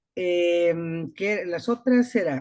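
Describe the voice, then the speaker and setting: A woman's fairly low-pitched voice comes through over a quiet background. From Guatemala, Escuintla. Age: 60s. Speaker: retired physician, course participant. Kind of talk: online class introduction.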